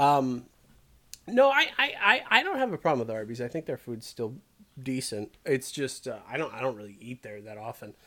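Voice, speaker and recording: A man speaks in a normal speaking voice at a moderate pace and medium pitch with ordinary pitch variation. His loudness swings widely. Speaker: comedy podcast co-host. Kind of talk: mock radio DJ banter, riffing comedy chat.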